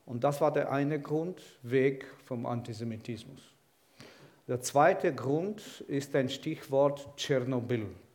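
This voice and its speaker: Long, frequent pauses break up a man's very slow speech at fairly high pitch. His pitch varies in an ordinary way, and the room echo is audible. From Ukraine, Kyiv. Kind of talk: sermon.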